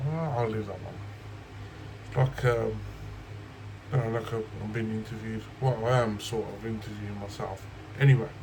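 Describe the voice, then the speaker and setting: A man with a West Midlands accent speaks with fairly even intonation, long, frequent pauses and big swings in loudness. Audible room echo and noticeable background noise surround him. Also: medium pitch for a man, moderate pace. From West Midlands, England. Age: 30s. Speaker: YouTube reviewer of leather wallets. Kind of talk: casual Q&A vlog.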